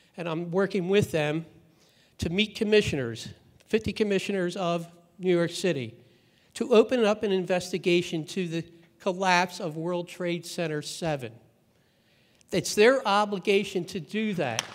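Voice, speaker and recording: Pausing long and often, a man speaks at a high pitch with ordinary pitch variation. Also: moderate pace. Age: 60s. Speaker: activist speaker, victim's father. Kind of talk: conference speech. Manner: halting.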